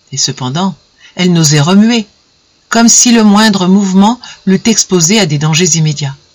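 The background stays quiet while a passage is read aloud in a natural voice.

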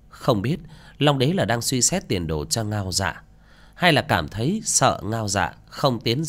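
This unforced reading voice has lively intonation.

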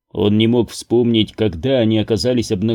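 Just plain reading aloud

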